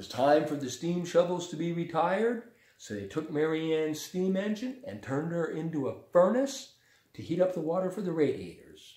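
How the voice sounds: With audible room echo around him, a man talks at a moderate pace in a fairly high pitch, his slightly mellow tone carrying lively intonation.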